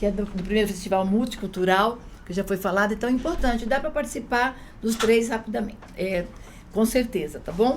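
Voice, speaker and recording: A woman's fairly high voice with ordinary pitch variation, a fairly quick pace and noticeable background noise. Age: 60s. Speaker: union activist. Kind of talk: casual chat.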